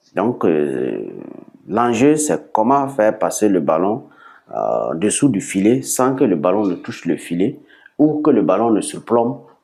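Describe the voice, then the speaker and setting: A man talks at a very slow pace in a Burkinabe accent, his pitch swinging very widely. His tone is dark and mellow, with vocal fry. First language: Bissa (speaking French). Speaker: sport founder. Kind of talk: TV interview. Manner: hesitant, many fillers.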